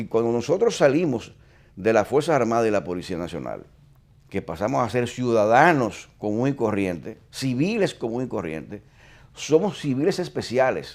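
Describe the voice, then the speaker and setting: On a very clean recording with a silent background, a man's voice shows vocal fry and very wide pitch swings. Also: medium pitch for a man, moderate pace. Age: 60s. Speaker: retired police chief. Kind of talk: interview.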